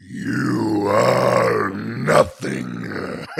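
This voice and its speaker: This put-on character voice sounds raspy. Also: man. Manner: menacing, cold.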